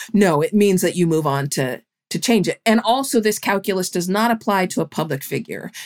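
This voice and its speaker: Fairly quick and lively in intonation, a woman with an unremarkable speaking voice and medium pitch talks in a very clean recording with a silent background. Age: 50s. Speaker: journalist and author. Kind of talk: interview.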